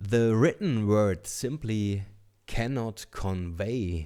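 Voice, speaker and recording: In a very clean recording with a silent background, a man speaks very slowly in a dark, mellow tone. His pitch is fairly low, with ordinary variation. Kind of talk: book reading.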